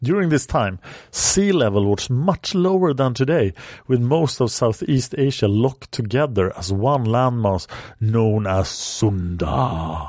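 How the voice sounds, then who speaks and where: A man's medium-pitched voice with very wide pitch swings, very even loudness and a fairly slow pace. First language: not English. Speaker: history podcast host. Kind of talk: scripted narration.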